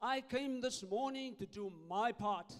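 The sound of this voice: Speaking at a fairly slow pace, a man uses an extremely high pitch. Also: ordinary pitch variation.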